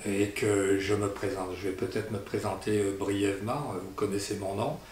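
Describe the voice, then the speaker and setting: There is audible room echo and noticeable background noise. Through it, a man speaks at a fairly low pitch. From Italy, then France. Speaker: landowner. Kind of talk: community address. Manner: halting, many hesitations.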